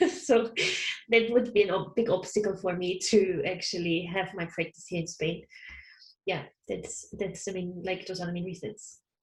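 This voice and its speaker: A woman with a German accent speaks at a medium pitch, sounding somewhat breathy. Her pace is moderate and her intonation fairly even. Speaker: counsellor. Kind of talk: interview.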